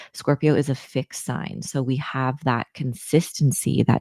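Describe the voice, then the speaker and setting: A woman with a very deep, low pitch and a dark, mellow tone talks at a fairly slow pace with vocal fry. The sound is dry and close, with no echo. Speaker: astrologer. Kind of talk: casual monologue. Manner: soft-spoken.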